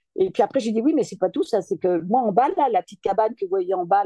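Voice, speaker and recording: Recorded dry and close with no echo, a woman speaks at medium pitch in a dark, mellow tone with lively intonation. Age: 70s. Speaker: street art photographer and game player. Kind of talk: casual interview chat.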